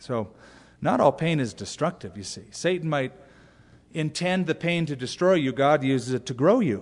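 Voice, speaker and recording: Against a quiet background, a man with an American accent has a normal speaking voice, fairly high in pitch, with lively intonation at a moderate pace. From US. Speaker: pastor. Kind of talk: sermon.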